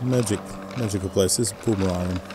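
A man's low-pitched voice against clear background noise. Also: ordinary pitch variation, fairly quick pace.

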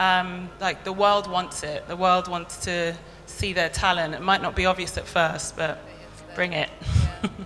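A British accent in monotone, flat intonation at a fairly slow pace, with big swings in loudness and light background noise. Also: woman, hardly any pauses. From raised in Kenya, the Caribbean and London. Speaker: magazine publisher. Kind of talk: onstage interview and audience Q&A. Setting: stage with audience. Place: hall. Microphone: handheld.

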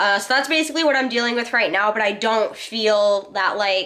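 Nasal, bright and sharp, a woman's medium-pitched voice moves with ordinary pitch variation. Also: moderate pace.

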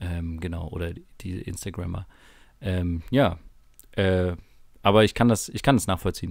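With long, frequent pauses and big swings in loudness, a man speaks at a moderate pace in a very deep, low pitch with ordinary pitch variation. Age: 20s. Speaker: podcast co-host. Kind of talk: casual chat. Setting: home recording in a bedroom.

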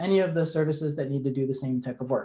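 Over a quiet background, a man's pitch rises and falls in an ordinary way. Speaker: speaker. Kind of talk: lecture. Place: home room.

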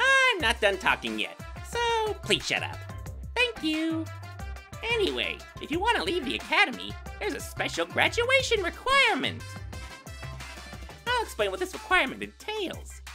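A cartoonish character voice at a moderate pace over clear music in the background. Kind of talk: anime fandub voice acting. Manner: gleeful, menacing, mocking.

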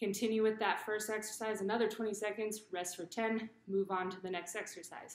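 At a moderate pace, a woman speaks in a flat monotone, with audible echo in the room. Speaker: fitness coach. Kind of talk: tutorial. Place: garage. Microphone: webcam.

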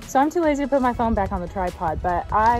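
Faint music plays in the background while a woman talks at a fairly quick pace. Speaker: horse rider vlogger. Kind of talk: casual vlog chat. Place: farm machine. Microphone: phone near.

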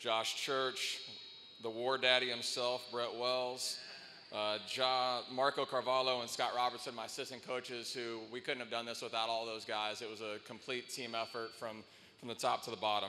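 Against light background noise, a man talks in a monotone, flat intonation. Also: moderate pace. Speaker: college soccer head coach. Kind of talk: acceptance speech. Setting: arena with live audience. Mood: grateful, proud. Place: hall. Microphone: handheld.

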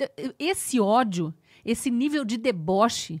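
A woman with a Brazilian accent speaks at a high pitch over a quiet background. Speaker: news commentator. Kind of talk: angry rant. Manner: indignant, impassioned, accusatory; halting, stumbling over words when agitated. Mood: indignant, earnest. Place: studio. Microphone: studio mic.

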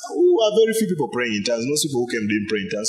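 Noticeable background noise and audible room echo surround a man whose voice sits fairly high. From Uganda. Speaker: pastor. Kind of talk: sermon.

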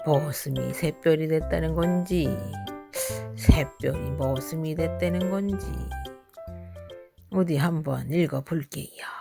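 With music in the background, the speaker goes at a very slow pace in a warm, gentle tone, leaving long, frequent pauses. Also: woman. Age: old. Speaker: storyteller. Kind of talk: bedtime folk tale reading.

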